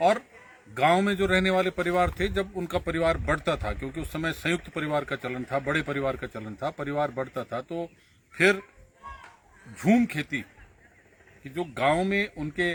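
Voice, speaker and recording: This man's pitch sits fairly high, with ordinary pitch variation. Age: 60s. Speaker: politician. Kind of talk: political commentary. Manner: halting.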